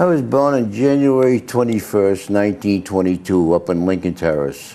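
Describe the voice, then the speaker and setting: A man with a New England accent has a fairly low pitch and a dark, mellow tone. He speaks at a moderate pace with lively intonation and very even loudness. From Massachusetts (Leominster). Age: 80s+. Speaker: local businessman. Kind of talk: interview.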